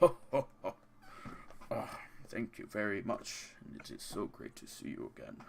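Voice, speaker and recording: A put-on character voice at a moderate pace, with long, frequent pauses, big swings in loudness and clear background noise. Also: man. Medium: actual play. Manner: jovial, polite.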